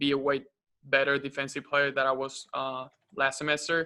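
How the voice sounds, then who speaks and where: Bright and sharp in tone, a man speaks at a moderate pace with a fairly high pitch and monotone, flat intonation. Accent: Spanish. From Uruguay. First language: Spanish. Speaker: college basketball player. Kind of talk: press conference interview. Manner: halting, many fillers.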